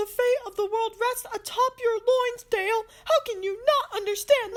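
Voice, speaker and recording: A squeaky, female-sounding put-on character voice at an extremely high pitch keeps a moderate pace. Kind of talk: comic melodrama. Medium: stage play.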